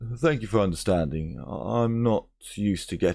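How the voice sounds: This is a natural reading voice. It is heard on its own.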